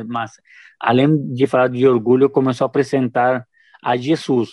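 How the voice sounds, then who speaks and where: A man with a Spanish-speaking accent speaks at a medium pitch. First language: Spanish (speaking Portuguese). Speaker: missionary. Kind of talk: testimony. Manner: halting.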